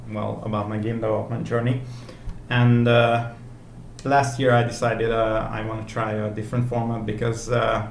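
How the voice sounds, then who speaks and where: A man speaks at a moderate pace with a Hungarian accent. There is noticeable background noise along with audible room echo. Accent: non-native, Hungarian. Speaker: indie game developer, vlogger. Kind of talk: video blog. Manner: halting, many fillers.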